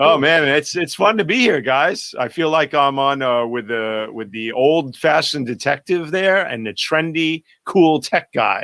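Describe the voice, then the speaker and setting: In a New York accent, a man speaks fairly slowly with a fairly high pitch and a bright, sharp tone, with hardly any pauses. His intonation is lively, and the recording is very clean with a silent background. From New York City, Greenwich Village. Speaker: photographer. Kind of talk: casual chat. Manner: animated.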